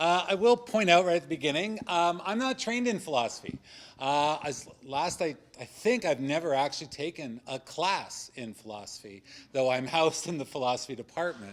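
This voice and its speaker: A loud man speaks at a moderate pace, his fairly high pitch making very wide swings. The recording is very clean, with a silent background. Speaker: religious studies scholar on a debate panel. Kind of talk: panel discussion talk.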